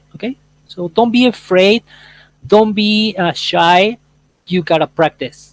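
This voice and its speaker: Someone with an American accent speaks at a fairly slow pace, leaving long, frequent pauses. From Argentina, grew up in the United States. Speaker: English workshop host. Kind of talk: casual chat.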